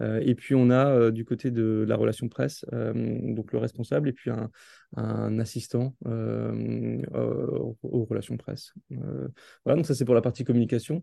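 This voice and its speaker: A man is talking. The recording sounds dry and close, without any echo. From Alsace, France. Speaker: football club marketing director. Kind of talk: interview. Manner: halting, with many repetitions and fillers.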